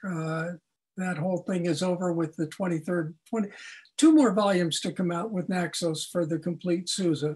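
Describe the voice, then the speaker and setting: A man speaks at a moderate pace with a high pitch. The recording is very clean, with a silent background. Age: 80s+. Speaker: conductor. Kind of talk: podcast interview.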